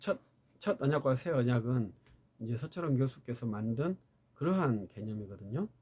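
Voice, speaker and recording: Intonation is lively and the voice somewhat breathy, delivered at a moderate pace. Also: man. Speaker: theology lecturer. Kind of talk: lecture.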